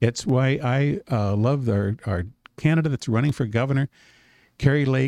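A man's medium-pitched voice, dark and mellow in tone, with ordinary pitch variation and a dry, close sound with no echo against a quiet background. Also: moderate pace. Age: 60s. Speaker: gold dealer and company CEO. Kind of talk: casual interview.

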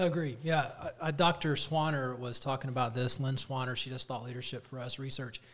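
A man speaks in a plain, everyday voice at a fairly quick pace. His pitch is medium, with fairly even intonation. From Atlanta, US South. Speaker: school association director. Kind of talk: casual interview.

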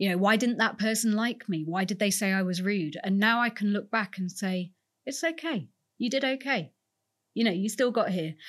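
Lively intonation carries this woman's medium-pitched, plain, everyday voice along at a moderate pace. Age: 40s. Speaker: museum curator. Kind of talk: interview conversation.

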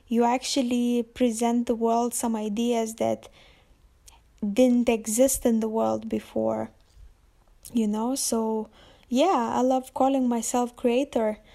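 A woman's dark, mellow voice in a Lithuanian accent, monotone and flat, at a very slow pace with long, frequent pauses. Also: fairly high pitch for a woman. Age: 20s. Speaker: podcaster and visual artist. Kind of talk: solo monologue podcast intro. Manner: hesitant, many fillers.

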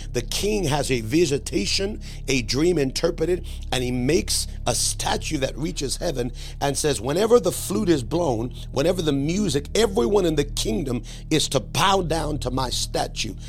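Music plays behind a man speaking. His voice sits fairly high, with lively intonation. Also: moderate pace. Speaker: preacher and podcast host. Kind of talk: sermon with prophetic preaching and prayer. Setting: podcast recording addressing live viewers. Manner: impassioned, declamatory preaching, urging listeners to 'hear by the Spirit'; warm, welcoming, pastoral.

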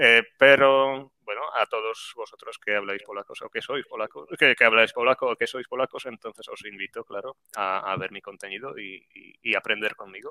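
A man speaks at a moderate pace with hardly any pauses and big swings in loudness. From Poland, Grudziądz. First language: Polish (speaking Spanish). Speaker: Spanish teacher YouTuber. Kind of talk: interview.

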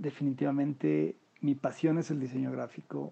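A man talks at a very slow pace. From Mexico City. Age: 50s. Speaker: unemployed graphic designer. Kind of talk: interview.

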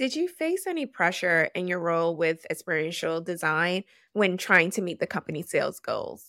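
A woman's animated voice at a moderate pace, with a dry, close sound with no echo and a very clean recording over a silent background. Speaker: podcast host. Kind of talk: interview, casual chat.

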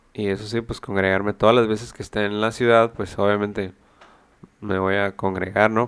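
A man speaks at a moderate pace in a fairly low-pitched voice. His intonation is monotone and flat. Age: 30s. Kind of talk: solo reflective monologue. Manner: hesitant, many fillers.

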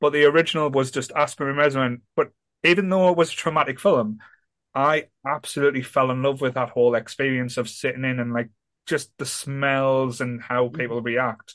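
With a northern English accent, a man speaks at a medium pitch with fairly even intonation. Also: moderate pace. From northern England. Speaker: podcast host. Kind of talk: casual chat.

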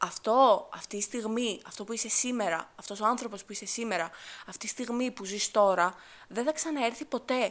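A woman's animated tone comes through at a moderate pace. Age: 20s. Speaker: podcast host, university student. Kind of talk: solo casual monologue.

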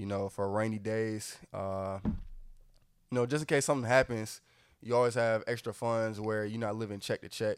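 A man with an American accent speaks at medium pitch and a moderate pace, with fairly even intonation. The recording is very clean with a silent background. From Atlanta, Georgia. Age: 20s. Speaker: college student. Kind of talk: casual chat.

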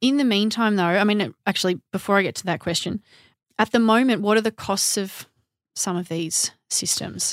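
An Australian accent at a moderate pace with ordinary pitch variation, on a very clean recording with a silent background and a dry, close sound free of echo. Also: woman, medium pitch for a woman. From Melbourne, Australia. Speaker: horticulturalist and podcast host. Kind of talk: interview.

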